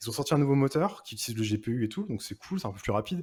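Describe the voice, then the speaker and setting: A man with a dark, mellow tone speaks at a very fast pace with lively intonation. The recording is very clean, with a silent background. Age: 30s. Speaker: 3D artist and art director. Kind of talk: casual chat. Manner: halting.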